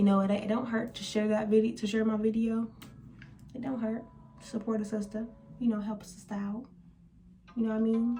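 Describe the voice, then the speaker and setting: A woman speaks fairly quickly at a fairly high pitch in a flat monotone, with long, frequent pauses, audible room echo and noticeable background noise. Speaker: lifestyle vlogger. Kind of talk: casual monologue to camera. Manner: fast.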